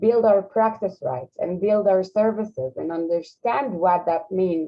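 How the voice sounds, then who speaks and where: A woman speaks with an Israeli accent. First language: Hebrew. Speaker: social program representative. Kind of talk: panel discussion. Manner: halting.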